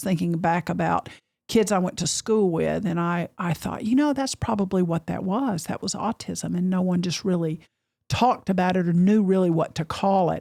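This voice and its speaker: With an Appalachian accent, a woman speaks at a medium pitch. Her pace is moderate and her pitch variation ordinary. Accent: very Southern and mountainy. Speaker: podcast host. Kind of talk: interview.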